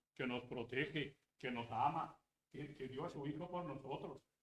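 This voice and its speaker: The man's voice is somewhat breathy. He talks at a moderate pace, his pitch varying in an ordinary way. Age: 80s+. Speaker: pastor. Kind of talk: sermon. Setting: church.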